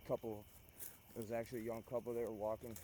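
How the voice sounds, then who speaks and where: Very fast, monotone delivery with flat intonation and an American accent. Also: man. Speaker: vlogger. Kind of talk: outdoor vlog monologue. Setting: outdoors. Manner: loud.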